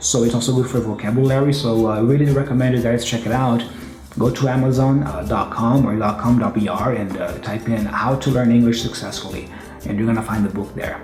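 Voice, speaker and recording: With music in the background and audible room echo, a man with a Brazilian Portuguese accent speaks at a medium pitch and a fairly quick pace, his intonation fairly even. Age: 30s. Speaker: English teacher and guitarist. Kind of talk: interview with language tips. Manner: hesitant with many fillers.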